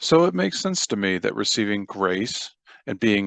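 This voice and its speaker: A man with a fairly low pitch speaks at a moderate pace in an American accent, the sound dry and close with no echo over a quiet background. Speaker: audiobook narrator. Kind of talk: reading aloud.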